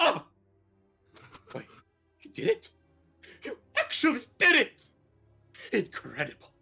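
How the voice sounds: A put-on character voice speaks at high pitch and a fairly slow pace. Long, frequent pauses break it up, with faint music in the background.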